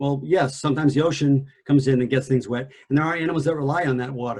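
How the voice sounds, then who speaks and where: A man speaks at a fairly high pitch. His pace is fairly quick, with ordinary pitch variation. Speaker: environmental analyst presenter. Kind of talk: lecture. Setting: video call. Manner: soft-spoken.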